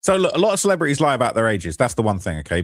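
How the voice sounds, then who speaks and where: A man at a very fast pace on a very clean recording with a silent background. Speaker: streamer discussing celebrity news. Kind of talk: live stream commentary reading comments. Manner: stuttering, jittery.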